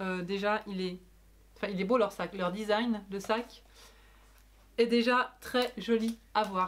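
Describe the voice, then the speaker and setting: A woman speaks at a very slow pace with fairly even intonation. She leaves long, frequent pauses. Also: medium pitch for a woman. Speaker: sewing blogger and vlogger. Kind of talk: casual vlog. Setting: at home; hotel room.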